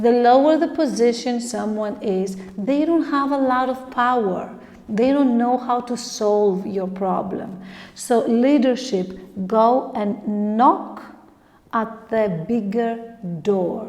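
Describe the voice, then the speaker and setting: Amid noticeable background noise and audible room echo, a woman with a fairly high pitch speaks very slowly with ordinary pitch variation. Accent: non-native. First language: not English. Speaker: tarot reader. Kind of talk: tarot reading monologue. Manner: halting.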